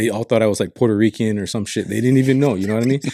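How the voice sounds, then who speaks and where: On a very clean recording with a silent background, a man speaks at a fairly low pitch in a dark, mellow tone with fairly even intonation. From Pacific Islands. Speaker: podcast co-host. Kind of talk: casual chat. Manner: casual, swears often.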